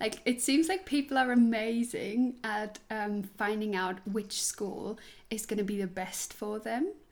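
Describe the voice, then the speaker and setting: A woman speaks in a Swiss German accent at a fairly slow pace. Her pitch is fairly high, with ordinary variation. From Switzerland. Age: 20s. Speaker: musical theatre performer. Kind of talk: casual interview. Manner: animated, laughs often.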